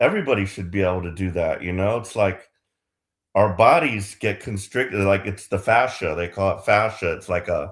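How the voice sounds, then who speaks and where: A man talks at a moderate pace, the recording very clean and the background silent. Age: 60s. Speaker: yoga practitioner in a group session. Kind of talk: casual chat. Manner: halting, many fillers.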